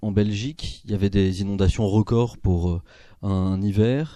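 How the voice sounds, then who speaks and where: Against a quiet background, a man speaks at a moderate pace. His tone is dark and mellow. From Paris, France. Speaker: philosophy lecturer and author. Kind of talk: book talk. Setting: bookshop talk with audience.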